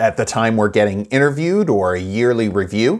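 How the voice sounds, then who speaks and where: A medium-pitched male voice on a very clean recording with a silent background. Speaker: podcast host and coach in training. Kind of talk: solo podcast monologue. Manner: loud when excited.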